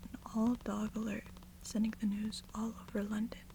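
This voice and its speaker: Soft-spoken whispering at a moderate pace amid noticeable background noise. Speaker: ASMR reader. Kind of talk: sleep story. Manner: whispered, soft-spoken.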